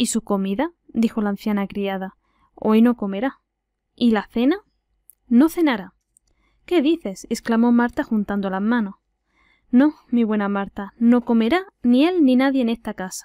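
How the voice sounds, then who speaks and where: A woman with a fairly high, dark, mellow voice speaks at a fairly slow pace with lively intonation and long, frequent pauses. The recording is very clean, with a silent background and a dry, close sound with no echo. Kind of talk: audiobook reading.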